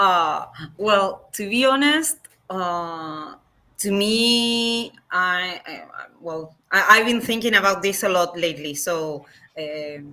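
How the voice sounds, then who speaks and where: Speaking at a very slow pace with a Spanish accent, a woman has a bright, sharp tone, medium pitch, and lively intonation. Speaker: game designer. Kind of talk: interview. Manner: halting, many fillers.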